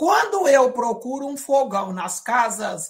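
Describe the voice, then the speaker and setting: This woman speaks with a fairly high pitch. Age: 50s. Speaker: educator. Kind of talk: lecture. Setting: video call. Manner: many fillers and hesitations.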